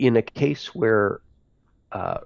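A man speaks with an American accent and lively intonation. The sound is dry with no echo, over a quiet background. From United States. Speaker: space policy expert; remote speaker. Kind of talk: online conference talk. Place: home room. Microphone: headset.

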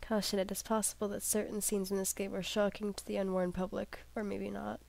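A woman's dark, mellow tone in a dry sound with no echo. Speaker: gamer. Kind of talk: casual let's play commentary. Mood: joking, playful, late night. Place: home room. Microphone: headset.

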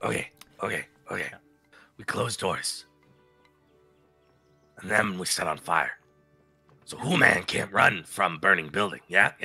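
A man does a put-on character voice at a fairly slow pace over faint music in the background. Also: fairly low pitch for a man. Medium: actual play. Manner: clipped broken commands.

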